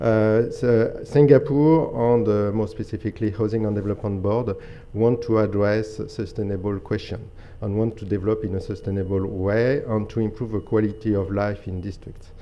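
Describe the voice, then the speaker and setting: The speaker has a French accent. Audible room echo surrounds the voice. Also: man, fairly low pitch for a man, fairly even intonation, moderate pace. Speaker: energy company program director. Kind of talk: conference presentation. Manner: halting, many fillers.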